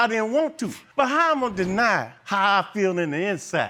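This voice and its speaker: In a very clean recording with a silent background, a man speaks at a moderate pace in a raised, projected voice with a bright, sharp tone and lively intonation. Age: 60s. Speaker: defendant on court show. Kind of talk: courtroom testimony. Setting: TV courtroom with audience.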